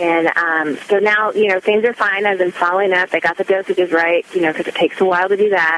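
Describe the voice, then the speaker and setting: Speaking at a very fast pace with hardly any pauses, a woman keeps a medium pitch and fairly even intonation over noticeable background noise. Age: 30s. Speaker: caller. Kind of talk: phone-in question. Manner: hesitant, many fillers.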